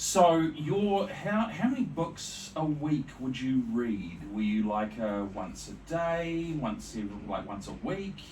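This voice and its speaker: Speaking very slowly with a New Zealand accent, a man uses a fairly high pitch and very wide pitch swings amid audible room echo and noticeable background noise. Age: 40s. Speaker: podcast host. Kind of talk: interview.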